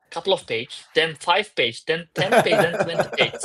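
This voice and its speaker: A man speaks at a fairly quick pace with a Turkish accent. The sound is dry and close, with no echo. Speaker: crypto startup founder. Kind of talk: interview. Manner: halting.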